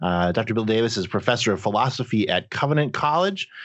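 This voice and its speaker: A man speaks with lively intonation at a medium pitch. It is an ordinary speaking voice. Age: 40s. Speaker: podcast host. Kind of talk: casual chat.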